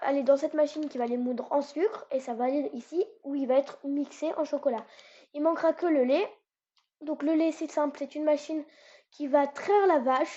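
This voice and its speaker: A woman speaks at a moderate pace with a high pitch. Her intonation stays fairly even. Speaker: gaming YouTuber. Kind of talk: gameplay tutorial. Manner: hesitant, many fillers.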